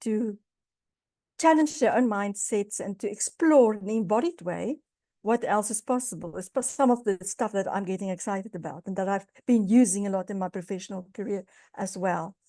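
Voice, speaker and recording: Recorded with a dry, close sound, no echo and a quiet background, a woman speaks at a moderate pace with ordinary pitch variation. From South Africa. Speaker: guest lecturer, business consultant. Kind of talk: guest lecture. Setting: video call.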